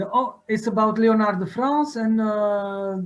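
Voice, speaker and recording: At a fairly slow pace, a man with a high pitch talks in a non-native accent. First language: French or Dutch. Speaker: art historian. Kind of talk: conference talk. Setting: video call. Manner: halting.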